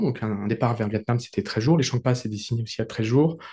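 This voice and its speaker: A man speaks at a medium pitch with a dark, mellow tone. The background is quiet. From rural France. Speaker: coach and trek organizer. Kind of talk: interview. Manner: hesitant, many fillers and repetitions.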